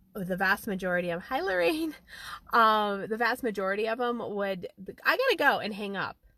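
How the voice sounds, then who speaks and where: The woman's voice has a bright, sharp tone. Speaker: life coach hosting a live stream. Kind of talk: casual live stream talk. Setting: outdoors in a parked car. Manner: fast.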